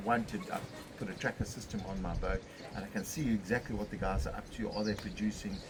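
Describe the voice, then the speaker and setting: A man's fairly low-pitched voice at a fairly quick pace, with ordinary pitch variation and noticeable background noise. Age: 60s. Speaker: fishing charter boat captain. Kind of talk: casual interview. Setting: on location in St Francis Bay.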